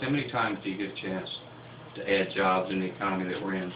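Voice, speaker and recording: A man with a Southern US accent speaks very fast at a fairly low pitch. There is noticeable background noise and audible room echo. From US South, Lower Alabama. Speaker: pulp mill CEO. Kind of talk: radio interview.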